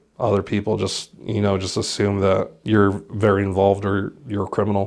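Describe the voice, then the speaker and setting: A fairly low-pitched male voice at a fairly quick pace, with noticeable background noise. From Colorado, USA. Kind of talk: interview answer. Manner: casual, candid.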